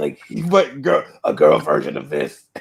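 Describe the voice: A man's gravelly, put-on character voice at a moderate pace.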